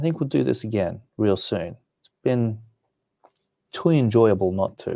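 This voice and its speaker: A man talks at a fairly slow pace in a relaxed, dark, mellow tone with lively intonation. His loudness swings widely, and he takes long, frequent pauses. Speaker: comic art teacher. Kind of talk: live stream chat. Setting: live stream.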